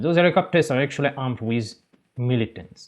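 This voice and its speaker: With a non-native accent, a man speaks at a fairly quick pace using ordinary pitch variation. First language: not English. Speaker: gaming YouTuber. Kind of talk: video game commentary. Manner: halting, self-correcting.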